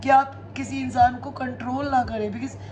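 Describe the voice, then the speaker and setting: A woman talks while noticeable background noise runs underneath. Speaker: tarot reader. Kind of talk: casual chat to viewers, spiritual advice. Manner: code-switching Hindi and English.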